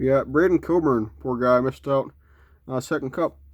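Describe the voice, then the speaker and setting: Medium in pitch, a man speaks at a fairly slow pace with ordinary pitch variation. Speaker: hockey card collector, box break video host. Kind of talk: casual card-opening commentary.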